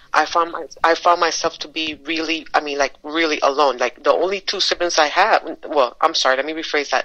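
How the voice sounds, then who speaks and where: A woman speaks at a fairly quick pace with hardly any pauses, her very deep, low voice bright and sharp in tone and her intonation fairly even. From Caribbean islands. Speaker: podcast co-host. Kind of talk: casual chat.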